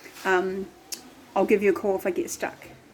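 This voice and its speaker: A woman talks at a fairly quick pace in a relaxed tone. There is noticeable noise in the background. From New Zealand. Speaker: expat vlogger, dancer and drummer. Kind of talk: casual travel vlog talk. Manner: relaxed, many fillers (um, like).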